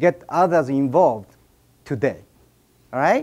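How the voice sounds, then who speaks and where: A man with a Japanese accent on a very clean recording with a silent background. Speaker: speaker at an event. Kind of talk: speech to an audience. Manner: halting.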